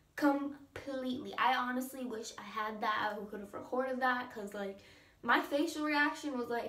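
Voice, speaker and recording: A shaky, high-pitched woman's voice with audible room echo and noticeable background noise. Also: ordinary pitch variation, moderate pace, big swings in loudness. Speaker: vlogger. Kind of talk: story time vlog. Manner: casual, filler-heavy; shaky voice.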